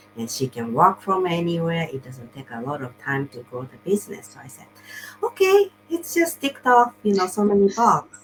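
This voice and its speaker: A woman's fairly low voice in a non-native accent, with very wide pitch swings and big swings in loudness over background music. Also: moderate pace. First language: not English. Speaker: online business coach and show host. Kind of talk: casual interview chat. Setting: livestream video call. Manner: halting, with repetitions.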